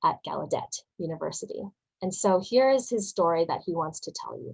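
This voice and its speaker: This woman has an ordinary speaking voice at a medium pitch. Her pitch varies normally, and the sound is dry and close with no echo. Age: 20s. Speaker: animator and storyboard artist. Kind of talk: online workshop presentation.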